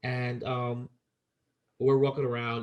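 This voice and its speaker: A man talks in an animated tone at a medium pitch. His voice is somewhat breathy. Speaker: podcast co-host. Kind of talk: casual chat. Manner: animated, repeats words often.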